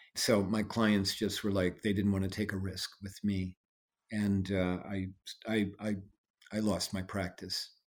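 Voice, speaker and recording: On a very clean recording with a silent background, the speaker uses an American accent, a fairly slow pace, and monotone, flat intonation. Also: man, fairly low pitch for a man. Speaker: trial lawyer and inclusion speaker. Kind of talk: interview.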